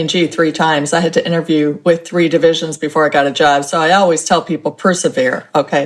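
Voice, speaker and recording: A woman with an American accent has an unremarkable speaking voice. She talks at a fairly quick pace in a fairly low pitch. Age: 60s. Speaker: author and couponing expert. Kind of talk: interview.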